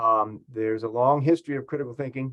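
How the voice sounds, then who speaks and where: The man talks at a medium pitch with fairly even intonation. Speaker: philosophy professor. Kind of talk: presentation at a staff training meeting. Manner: fast; halting, many fillers.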